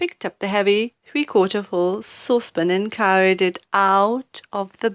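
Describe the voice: The surroundings are quiet. What you hear is plain reading aloud.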